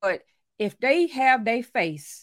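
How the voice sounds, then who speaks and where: A woman with a Louisiana accent and lively intonation on a very clean recording with a silent background. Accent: Southern US, Louisiana. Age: 40s. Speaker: author and life coach. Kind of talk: casual chat.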